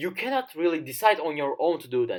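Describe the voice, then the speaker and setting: Someone with a non-native accent talks at a fairly quick pace on a very clean recording with a silent background. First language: not English. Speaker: YouTuber. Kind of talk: casual monologue to camera. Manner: halting, many fillers.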